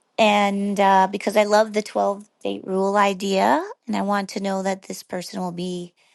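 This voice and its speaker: Against a quiet background, an ordinary speaking voice with an American accent moves at a fairly slow pace. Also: woman. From United States. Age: 60s. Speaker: caller. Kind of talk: voicemail question.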